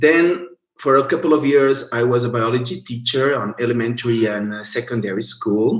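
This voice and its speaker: A man speaks with a Portuguese accent and ordinary pitch variation. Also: medium pitch for a man, moderate pace. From Portugal. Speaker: biologist and researcher. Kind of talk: online educational talk. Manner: halting.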